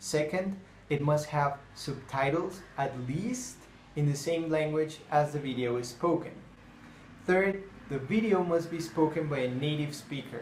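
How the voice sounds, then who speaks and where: A man in a Spanish accent, fairly high-pitched and fairly slow, with ordinary pitch variation and audible room echo. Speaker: language teacher. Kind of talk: tutorial.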